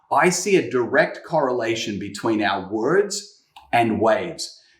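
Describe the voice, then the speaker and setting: An enthusiastic man with lively intonation and audible room echo. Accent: American. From Australia. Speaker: guest preacher. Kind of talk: sermon. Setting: home kitchen.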